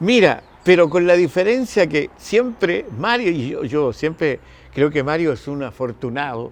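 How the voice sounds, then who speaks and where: A man speaks at a fairly slow pace in a fairly high pitch. His pitch swings very widely against a quiet background. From northern Chile. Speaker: radio announcer and TV host. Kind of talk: interview answer.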